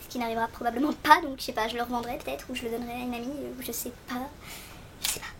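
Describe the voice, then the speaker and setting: Over noticeable background noise, a woman talks at a very fast pace, her high pitch kept in fairly even intonation. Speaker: beauty vlogger. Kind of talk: product review tutorial.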